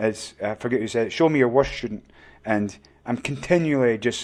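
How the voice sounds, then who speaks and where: A man with a Scottish accent at a moderate pace, on a very clean recording with a silent background. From Scotland. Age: old. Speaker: martial arts coach. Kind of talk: podcast interview.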